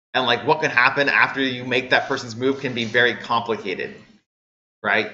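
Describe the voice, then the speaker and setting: A man talks at a fairly quick pace with a bright, sharp tone. His intonation is fairly even, and audible room echo surrounds him. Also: medium pitch for a man. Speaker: university lecturer. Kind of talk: lecture.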